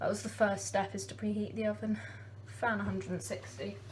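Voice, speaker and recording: Audible room echo surrounds a woman speaking with an English accent. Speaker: home baking vlogger. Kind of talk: casual vlog. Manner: fast.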